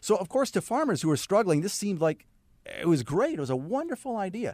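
Here a man talks at a very fast pace. His pitch swings very widely. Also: dry, close sound with no echo. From Canada, Saskatchewan. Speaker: naturopath. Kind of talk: radio interview. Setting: studio.

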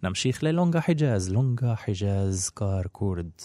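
Speaking at a fairly slow pace, a man with a fairly low pitch and a dark, mellow tone is heard on a very clean recording with a silent background. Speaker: music radio presenter. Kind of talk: educational commentary on music.

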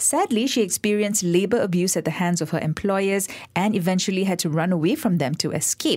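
A woman speaks at a fairly quick pace with hardly any pauses, in a normal speaking voice of medium pitch and ordinary pitch variation. Her loudness stays very even, and the recording is very clean with a silent background. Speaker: radio host. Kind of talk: interview. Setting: studio.

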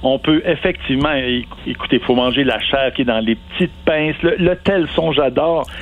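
A man's fairly high voice with ordinary pitch variation and very even loudness, over noticeable background noise. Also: moderate pace. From Quebec, Centre-du-Québec (Victoriaville). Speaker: marine biologist. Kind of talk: interview.

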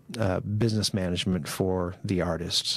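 Speaking at a fairly slow pace, a man with a Midwestern US accent is heard on a very clean recording with a silent background. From Kansas, Concordia. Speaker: TV promotions manager, former radio broadcaster. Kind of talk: casual chat. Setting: studio.

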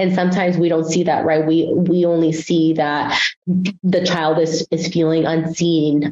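A speaker with a Spanish accent talks at a moderate pace. Noticeable background noise is present. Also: woman. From Guatemala, raised in San Francisco Bay Area from age six. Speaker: family therapist trainee. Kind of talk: interview. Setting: studio.

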